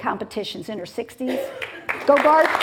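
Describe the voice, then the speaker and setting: A woman talks with ordinary pitch variation against noticeable background noise. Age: 60s. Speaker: TV talk show host. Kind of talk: show host monologue to studio audience. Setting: TV studio with live audience. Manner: animated.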